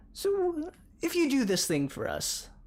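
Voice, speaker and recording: Someone puts on a character voice at a fairly slow pace. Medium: actual play. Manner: formal, measured.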